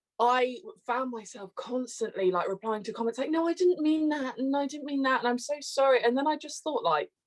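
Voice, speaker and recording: A woman with a British accent, high in pitch, with lively intonation, a fairly quick pace and hardly any pauses. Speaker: TikTok creator. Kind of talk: casual interview chat. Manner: animated.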